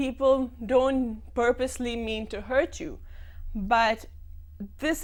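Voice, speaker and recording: A woman's high voice at a very slow pace. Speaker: stammering association member. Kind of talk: TV talk show interview. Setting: TV studio. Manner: stutter.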